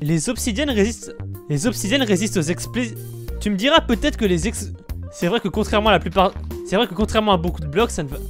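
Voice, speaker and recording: Over music in the background, the speech moves at a very fast pace. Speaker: Minecraft video creator. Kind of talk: casual talk to camera. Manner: stammering, many restarts.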